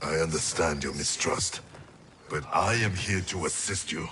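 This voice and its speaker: A put-on character voice from a man, very deep and low in pitch, solemn in tone, at a moderate pace. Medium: video game. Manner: terse, solemn.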